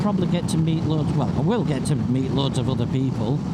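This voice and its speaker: Over noticeable background noise and audible room echo, a man with a Yorkshire accent talks at a fairly quick pace in a fairly high pitch with ordinary pitch variation. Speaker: motorcycle vlogger. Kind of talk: casual vlog monologue. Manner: chatty.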